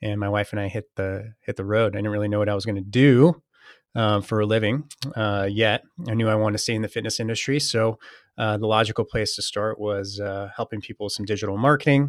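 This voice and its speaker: In an American accent, a man with a fairly low pitch and fairly even intonation speaks at a very fast pace, the sound dry and close with no echo on a very clean recording with a silent background. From Northern California. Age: 40s. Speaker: fitness business podcaster and former gym owner. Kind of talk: interview conversation.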